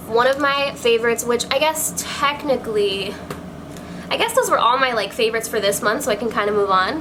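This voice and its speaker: A woman with a fairly high voice talks fairly quickly in an animated tone, her loudness very even. Long, frequent pauses break her speech, and noticeable background noise is present. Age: 20s. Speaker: beauty vlogger. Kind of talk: casual chat. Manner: fast.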